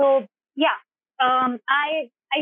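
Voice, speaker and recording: The speaker is a woman with a high pitch. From India, Jhansi (Uttar Pradesh). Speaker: journalism graduate. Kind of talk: casual interview conversation.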